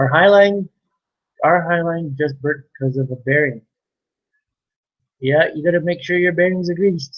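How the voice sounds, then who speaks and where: Quietly and at a moderate pace, a man speaks in a high pitch with long, frequent pauses. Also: ordinary pitch variation. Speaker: farmer livestreamer. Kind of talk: live stream chat answering viewers. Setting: live stream with webcam.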